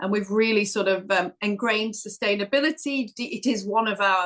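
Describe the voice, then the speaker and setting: At a moderate pace, a woman with a northern English accent speaks at a fairly high pitch in a bright, sharp tone. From northern England. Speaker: corporate sustainability executive. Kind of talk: podcast interview.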